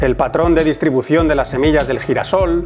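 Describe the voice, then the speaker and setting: Music plays in the background. A man with a fairly high pitch talks at a moderate pace. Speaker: voice actor. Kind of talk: casual educational talk to camera. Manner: upbeat, playful.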